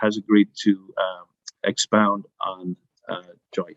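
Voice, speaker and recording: A man with a Dublin accent speaks at a moderate pace in dry, close sound with no echo. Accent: Dublin Irish. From Ireland, Dublin. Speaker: educator, webinar host. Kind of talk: webinar interview. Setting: library, video webinar.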